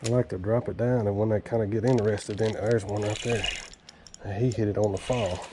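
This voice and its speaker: A fairly low male voice with a Southern US accent, set against noticeable background noise. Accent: US South. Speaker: fishing channel host. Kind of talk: outdoor fishing vlog commentary. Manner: casual, excited; quiet, hushed.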